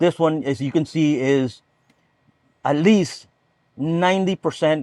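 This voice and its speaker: A man with a fairly high pitch talks fairly slowly, with ordinary pitch variation. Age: 60s. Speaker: boat owner. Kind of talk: casual chat. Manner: halting.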